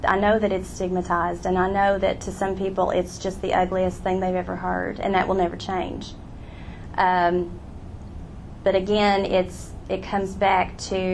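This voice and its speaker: An American accent at a moderate pace, with audible room echo. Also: woman. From southwestern Virginia, Appalachia. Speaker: author and teacher. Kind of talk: audience Q&A. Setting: live event with audience.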